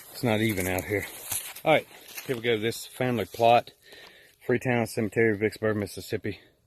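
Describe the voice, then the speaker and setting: Against noticeable background noise, a man with a medium pitch talks at a fairly quick pace with fairly even intonation. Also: long, frequent pauses. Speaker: paranormal investigator. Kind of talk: walkthrough video commentary. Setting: outdoors. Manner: casual.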